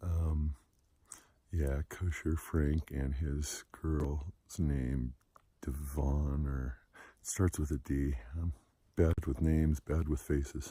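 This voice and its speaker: A soft-spoken man's very deep, low voice, dark and mellow in tone and somewhat breathy, monotone and flat, at a very slow pace with long, frequent pauses. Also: very clean recording, silent background. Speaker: long-distance hiker vlogger. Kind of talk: casual video diary. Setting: outdoors on mountain trail. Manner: soft-spoken, speaking low.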